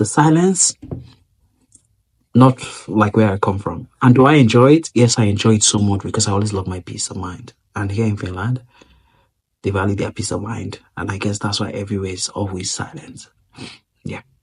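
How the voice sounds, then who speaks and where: A man with a fairly low pitch and ordinary pitch variation speaks at a moderate pace, his somewhat breathy voice showing big swings in loudness and long, frequent pauses. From Nigeria. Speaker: vlogger. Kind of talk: casual vlog talk.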